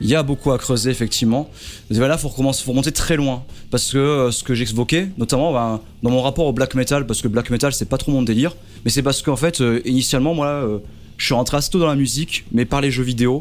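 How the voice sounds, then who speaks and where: Here is a man with an unremarkable speaking voice and a medium pitch. He talks at a fairly quick pace, with fairly even intonation and very even loudness. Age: 30s. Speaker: YouTuber and primary school teacher. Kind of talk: radio interview.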